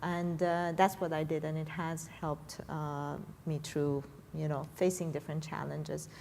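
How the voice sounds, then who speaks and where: In an Iranian accent, a woman speaks at a very deep, low pitch and a moderate pace with a monotone, flat intonation. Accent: Iranian (Persian) accent in English. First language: Persian. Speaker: tech professional. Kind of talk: panel discussion. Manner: hesitant, many fillers.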